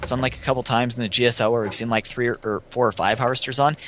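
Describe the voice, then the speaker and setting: The man's tone is bright and sharp, at a medium pitch. He speaks at a very fast pace. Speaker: esports commentator. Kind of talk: live commentary.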